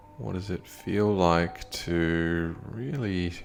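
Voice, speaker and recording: Over music in the background, a man with a very deep, low pitch speaks in a calm, soothing tone. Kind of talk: guided meditation, body scan. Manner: slow, calm, soothing.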